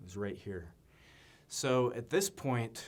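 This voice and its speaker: A man with a medium-pitched voice, recorded very cleanly against a silent background. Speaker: presenter practicing on camera. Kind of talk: practice presentation on camera. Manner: varying loudness deliberately; monotone.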